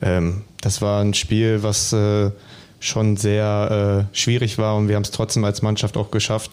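A man's dark, mellow, fairly low voice in a flat monotone. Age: 20s. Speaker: footballer. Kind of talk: casual chat.

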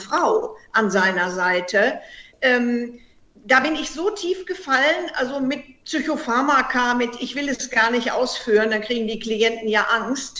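A woman's high-pitched, bright, sharp voice with ordinary pitch variation, at a fairly slow pace amid audible room echo. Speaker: heartbreak counselor and author. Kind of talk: interview.

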